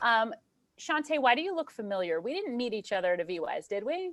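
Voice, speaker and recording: Racing at a very fast pace, a woman with a fairly high pitch speaks with very wide pitch swings. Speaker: marketing and entrepreneurship instructor. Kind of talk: webinar Q&A talk. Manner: animated.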